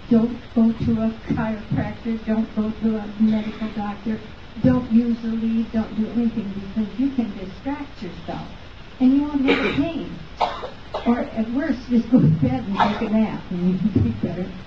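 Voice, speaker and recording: Over noticeable background noise, a woman speaks at a moderate pace in a fairly high pitch with ordinary variation. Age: 80s+. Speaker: chiropractic patient giving testimonial. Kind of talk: testimony. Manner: halting, many fillers.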